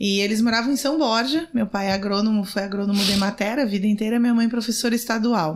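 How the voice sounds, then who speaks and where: In a somewhat breathy voice, a woman speaks at a fairly quick pace. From Rio Grande do Sul interior, Brazil. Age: 40s. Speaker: city councillor and lawyer. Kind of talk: podcast interview.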